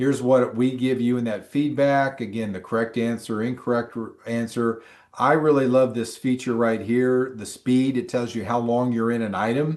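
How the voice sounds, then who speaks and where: Against a quiet background, a plain, everyday voice moves at a moderate pace with fairly even intonation and hardly any pauses. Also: man, medium pitch for a man. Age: 60s. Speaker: exam prep instructor. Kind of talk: online class.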